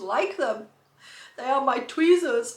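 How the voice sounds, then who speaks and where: A woman's animated voice with lively intonation, amid noticeable background noise and audible room echo. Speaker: lifestyle vlogger. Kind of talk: casual haul chat. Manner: chatty, animated.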